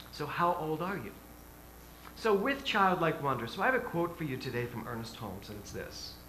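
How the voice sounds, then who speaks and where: A man at a fairly high pitch and a fairly quick pace, with very wide pitch swings and big swings in loudness, amid audible room echo and noticeable background noise. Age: 60s. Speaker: minister. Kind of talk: sermon. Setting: church. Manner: animated.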